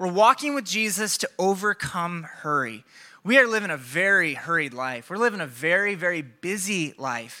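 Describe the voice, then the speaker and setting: A man with an American accent in a raised, projected voice, bright and sharp in tone, at a moderate pace with very wide pitch swings, on a very clean recording with a silent background. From Iowa, Des Moines area. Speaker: pastor. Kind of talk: sermon. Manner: animated.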